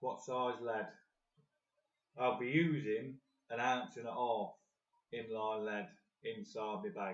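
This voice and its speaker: With an English accent, the speaker goes very slowly, with long, frequent pauses and ordinary pitch variation. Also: man, medium pitch for a man. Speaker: carp fishing video host. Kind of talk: live-stream tutorial. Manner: soft-spoken; louder than usual. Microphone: phone mic, sound might be dodgy.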